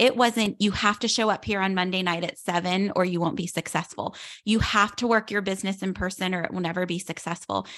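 In a normal speaking voice, a woman of medium pitch speaks with an American accent and fairly even intonation on a very clean recording with a silent background. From western Pennsylvania, outside Pittsburgh. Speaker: direct sales business leader. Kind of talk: casual interview chat.

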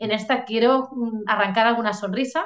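At a moderate pace, a woman speaks in a fairly high voice. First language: Catalan (speaking Spanish). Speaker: novelist. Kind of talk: interview. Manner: hesitant, many fillers.

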